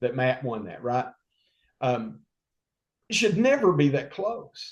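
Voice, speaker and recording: A man speaks with lively intonation and a somewhat breathy quality. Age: 60s. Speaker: state legislator and governor candidate. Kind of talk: political interview. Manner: animated.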